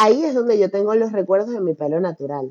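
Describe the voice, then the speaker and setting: A woman with a normal speaking voice talks at a medium pitch with lively intonation. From Venezuela. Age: 30s. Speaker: event producer and podcaster. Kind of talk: interview.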